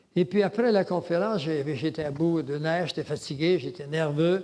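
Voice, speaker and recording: In a very clean recording with a silent background, a man talks at a moderate pace in a fairly high pitch with ordinary pitch variation. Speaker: lecturer on religion and world government. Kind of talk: lecture. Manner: halting.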